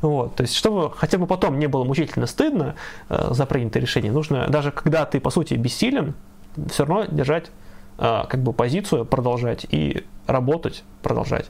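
A man's fairly high voice with vocal fry, very even loudness, ordinary pitch variation and a moderate pace. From Russia, Ivanovo. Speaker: leftist activist and stream co-host. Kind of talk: live stream discussion.

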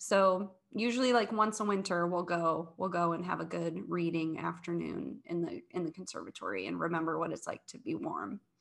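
Hardly pausing at all, a woman keeps to a moderate pace. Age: 30s. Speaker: podcast co-host, curator and immersive artist. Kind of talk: casual chat.

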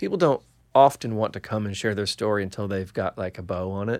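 A man with an American accent uses a plain, everyday voice at a fairly low pitch and a fairly quick pace. The sound is dry and close with no echo, and the recording is very clean with a silent background. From Illinois, US. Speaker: podcast host, A&R man. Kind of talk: interview conversation. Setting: studio.

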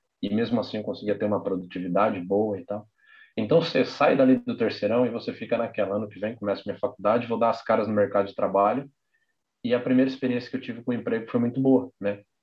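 Talking at a very fast pace, a man keeps a medium pitch and a fairly even intonation. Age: 20s. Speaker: architect and graphic designer. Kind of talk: casual chat.

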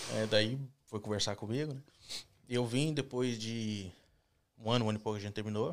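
Medium in pitch with ordinary pitch variation, a man speaks at a fairly quick pace on a very clean recording with a silent background. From Brazil, São Paulo (raised), later Minas Gerais. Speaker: immigrant construction worker. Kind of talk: casual interview on live stream.

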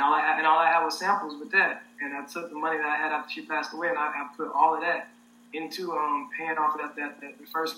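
Over noticeable background noise, a man with an American accent speaks at a fairly quick pace in a fairly high voice. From Arkansas, US South. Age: 20s. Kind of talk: casual interview. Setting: online livestream.

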